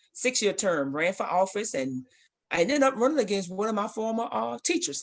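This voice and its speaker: A woman at a medium pitch speaks with an American accent and vocal fry at a moderate pace. Her pitch swings very widely against a quiet background. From Alabama. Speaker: basketball coach and athletic director. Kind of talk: interview.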